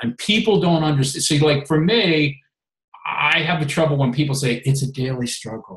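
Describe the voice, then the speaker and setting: A plain, everyday voice: a man with an American accent, fairly high pitch, ordinary pitch variation and a moderate pace. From Maryland, US. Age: 50s. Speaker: health and fitness coach, former reality show contestant. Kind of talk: casual chat.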